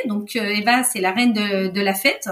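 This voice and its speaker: A somewhat breathy woman at a moderate pace. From Spain. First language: Spanish (speaking French). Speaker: podcast guest. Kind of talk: casual chat.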